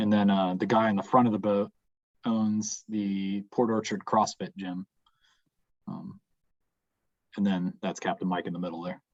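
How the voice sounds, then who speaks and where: A man with a fairly low voice speaks at a moderate pace in a monotone, flat intonation. He leaves long, frequent pauses, and the sound is dry and close with no echo. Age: 30s. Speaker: fishing guide. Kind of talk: Q&A after a presentation.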